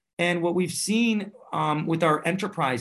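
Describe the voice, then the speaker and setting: An unremarkable speaking voice moves at a fairly slow pace with lively intonation. The background is quiet. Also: man. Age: 40s. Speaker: tech startup CEO and founder. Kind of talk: interview.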